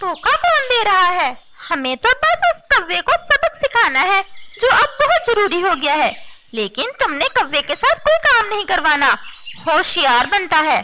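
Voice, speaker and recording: A cartoonish character voice moves at a moderate pace with very wide pitch swings. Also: woman, extremely high pitch for a woman. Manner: sly, self-assured.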